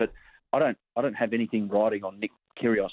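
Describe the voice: A man speaks with a fairly low pitch. His voice shows little pitch movement. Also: dry, close sound with no echo.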